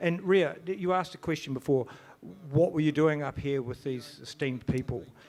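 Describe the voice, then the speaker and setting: With a New Zealand accent, a man speaks fairly quickly in a fairly high voice that varies in pitch in an ordinary way. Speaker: event organiser. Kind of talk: conference talk. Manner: halting, stammering.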